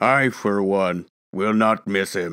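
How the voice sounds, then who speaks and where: A man performs in a put-on character voice. The recording is very clean, with a silent background. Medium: read story. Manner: curt, self-assured.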